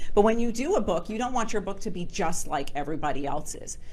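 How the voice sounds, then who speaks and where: Audible room echo surrounds a woman speaking at a very fast pace. Her medium-pitched voice has lively intonation. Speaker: author and book publisher giving a presentation. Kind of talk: presentation with Q&A to a networking group.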